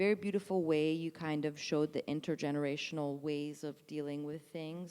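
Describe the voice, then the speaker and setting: On a very clean recording with a silent background, a woman with a non-native accent speaks at a moderate pace in a monotone, flat intonation and a very deep, low pitch. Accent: foreign. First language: not English. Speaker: actor. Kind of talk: post-show talkback. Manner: halting, many fillers and restarts.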